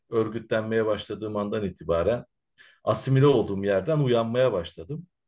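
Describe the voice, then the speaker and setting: A man is heard against a quiet background. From Turkey, Izmir (from age 5, born in Central Anatolia). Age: 40s. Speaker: Roma researcher and activist. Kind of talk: interview. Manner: hesitant, many filler sounds.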